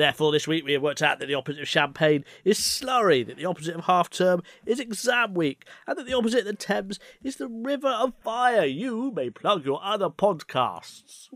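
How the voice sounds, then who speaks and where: Fairly quick, playful speech in an English accent on a very clean recording with a silent background. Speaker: podcast co-host. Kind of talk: casual chat.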